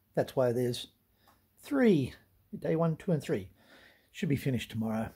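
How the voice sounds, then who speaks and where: A man's somewhat breathy, dark, mellow voice at a moderate pace against a quiet background. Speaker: vlogger. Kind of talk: casual vlog chat. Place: garage. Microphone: phone near.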